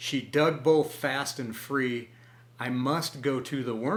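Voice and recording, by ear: This is someone reading aloud in a natural voice.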